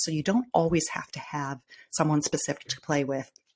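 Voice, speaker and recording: A woman with a Midwestern US accent speaks in a very deep, low voice with fairly even intonation, in a very clean recording with a silent background. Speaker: podcast host. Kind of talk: solo podcast talk, tips. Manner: casual, with many fillers.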